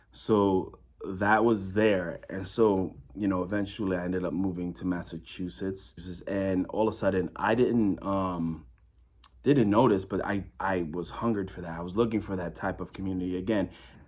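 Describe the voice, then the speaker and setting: Very deep and low in pitch, a man with an American accent speaks at a moderate pace with fairly even intonation. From New York City (Brooklyn). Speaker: youth program worker. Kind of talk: interview testimony. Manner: halting.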